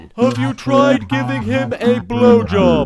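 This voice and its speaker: A man talks at a fairly slow pace. Background noise is clearly audible. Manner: cheerful, oblivious.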